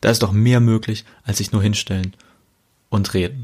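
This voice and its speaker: Breathiness is somewhat present in this voice. Its intonation holds fairly even throughout. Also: man. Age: 30s. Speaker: pastor. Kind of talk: casual podcast monologue.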